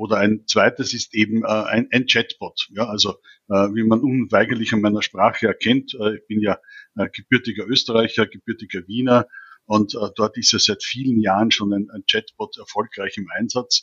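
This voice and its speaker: Speaking with a Viennese accent, a man talks at a medium pitch and a moderate pace in a monotone, flat intonation. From Austria, Vienna. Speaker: digital government consultant. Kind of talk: expert interview. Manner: hesitant, many fillers.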